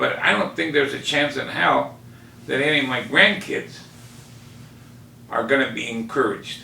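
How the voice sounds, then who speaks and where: Ordinary pitch variation from a male speaker, amid noticeable background noise and audible room echo. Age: 60s. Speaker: fish market owner and fisherman. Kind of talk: interview.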